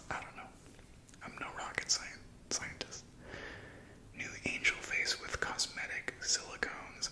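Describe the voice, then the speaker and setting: Whispering at a moderate pace amid noticeable background noise. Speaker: ASMR creator. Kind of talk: ASMR magazine reading, casual talk to camera. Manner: soft-spoken, whispered.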